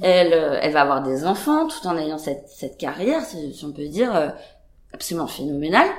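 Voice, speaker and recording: A woman speaks at a fairly slow pace. Audible room echo can be heard. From France and Denmark. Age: 30s. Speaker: painter. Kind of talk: casual chat. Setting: artist's studio. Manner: halting.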